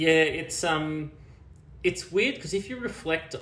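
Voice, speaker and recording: Pitch rises and falls in an ordinary way. The delivery holds a moderate pace. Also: man. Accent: Australian. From Australia, small country town near Canberra. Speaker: media and technology executive. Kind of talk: interview. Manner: halting, many repeated words and fillers.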